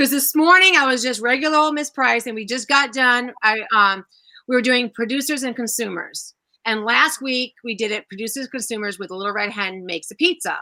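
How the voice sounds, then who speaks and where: A loud, animated woman's voice, high-pitched with a bright, sharp tone and lively intonation, on a very clean recording with a silent background. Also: fairly quick pace. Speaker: first-grade teacher. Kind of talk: casual chat.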